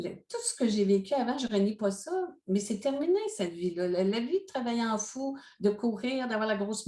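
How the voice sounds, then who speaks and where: A woman speaks in a dark, mellow tone. Her pace is fairly slow, and her pitch varies in an ordinary way. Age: 60s. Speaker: life coach and speaker. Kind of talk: interview.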